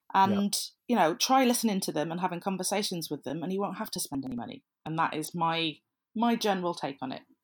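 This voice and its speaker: A woman talking very fast with a Welsh accent. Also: medium pitch for a woman, lively intonation, very clean recording, silent background. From South Wales. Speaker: social media consultant. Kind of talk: debate.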